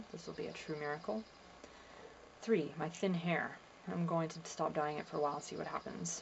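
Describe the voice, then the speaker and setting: A soft-spoken woman with a very deep, low pitch uses ordinary pitch variation. She keeps a moderate pace with long, frequent pauses. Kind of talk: reading diary entries aloud to camera.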